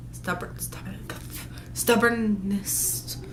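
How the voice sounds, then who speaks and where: Audible room echo around a woman speaking fairly slowly. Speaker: vlogger. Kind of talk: casual vlog, answering questions. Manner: animated; halting, stuttering.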